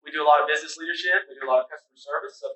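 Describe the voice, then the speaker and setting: A man with an Oklahoma accent. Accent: Oklahoma, US Southern. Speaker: career tech center representative. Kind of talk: presentation. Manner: fast.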